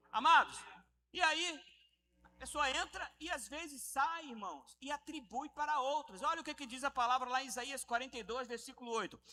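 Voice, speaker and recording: A man speaks in a raised, projected voice at an extremely high pitch, with a bright, sharp tone. His pace is moderate and his pitch variation ordinary. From Rio de Janeiro, Brazil. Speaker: pastor. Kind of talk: sermon. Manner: animated.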